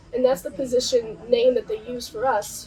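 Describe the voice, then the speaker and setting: Someone talks at a very fast pace with an American accent. There is noticeable background noise. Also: woman. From Southern California. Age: 20s. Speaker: naturalist, marine biology student. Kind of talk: interview answer. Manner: upbeat.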